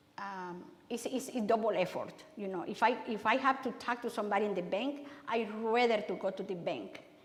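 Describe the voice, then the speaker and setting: A woman at a fairly quick pace, fairly high pitch, and ordinary pitch variation, with audible room echo. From Honduras. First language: Spanish. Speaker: city councilmember and migrant education worker. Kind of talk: public talk Q&A. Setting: church talk with audience. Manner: halting, many repetitions and fillers.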